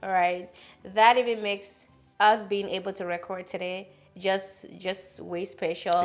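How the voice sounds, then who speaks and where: Over music in the background, a woman with a non-native accent speaks fairly slowly at medium pitch in a monotone, flat intonation. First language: not English. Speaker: podcast host. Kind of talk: casual chat.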